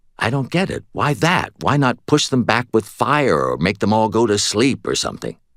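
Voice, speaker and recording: Using a gruff, put-on character voice, a man of medium pitch talks at a moderate pace with lively intonation. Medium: read story. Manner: gruff, dry.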